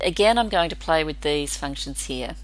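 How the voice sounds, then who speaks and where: A woman speaks with audible room echo. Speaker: photographer. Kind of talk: tutorial. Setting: at work.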